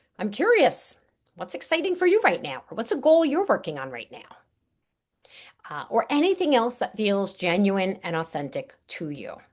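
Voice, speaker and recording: Against a quiet background, a woman with a slight New York accent and vocal fry speaks at a fairly high pitch, with very wide pitch swings and big swings in loudness. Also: moderate pace. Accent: Staten Island New York, slight. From New York, Staten Island. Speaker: networking coach. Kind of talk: webinar presentation. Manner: animated.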